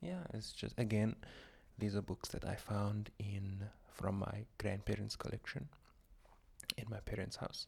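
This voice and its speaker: A soft-spoken man talks at a very slow pace. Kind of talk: soft-spoken ASMR book haul ramble to camera. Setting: close microphone at home. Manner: soft-spoken, rambling, friendly.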